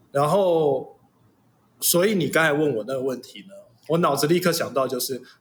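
Speaking in a normal speaking voice, a man talks at a moderate pace and fairly high pitch with ordinary pitch variation. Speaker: father and host's husband. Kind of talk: casual chat.

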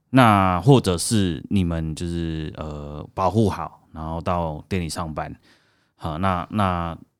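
A man speaks with a very deep, low pitch at a very slow pace, with ordinary pitch variation. The recording is very clean, with a silent background. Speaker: red bean cake shop owner. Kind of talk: interview. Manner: halting, many fillers and repetitions.

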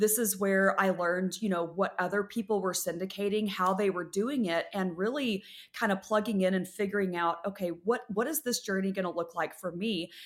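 Heard in a very clean recording over a silent background, an ordinary speaking voice with an American accent moves at a fairly quick pace with ordinary pitch variation and hardly any pauses. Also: woman, medium pitch for a woman. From West Texas. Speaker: real estate syndicator and investor. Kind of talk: interview.

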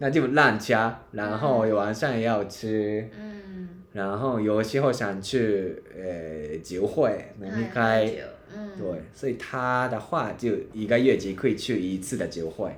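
Very slowly and with lively intonation, a man with a Japanese accent speaks at medium pitch, amid noticeable background noise and audible room echo. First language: Japanese (speaking Chinese). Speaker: podcast co-host. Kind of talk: casual chat.

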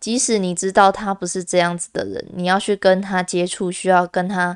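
A woman speaks at a moderate pace in a medium-pitched voice with fairly even intonation. The sound is dry and close, with no echo. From Taiwan, Kaohsiung. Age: 20s. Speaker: podcast host. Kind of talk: personal monologue.

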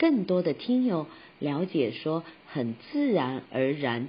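A woman with a very deep, low pitch, very wide pitch swings and a very slow pace. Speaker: podcast host and voice coach. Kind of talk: tutorial.

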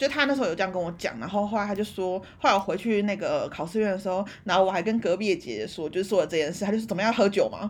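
A woman speaks at a very fast pace with hardly any pauses, her medium pitch showing ordinary variation. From Taiwan. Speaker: podcast co-host. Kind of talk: casual chat. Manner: animated.

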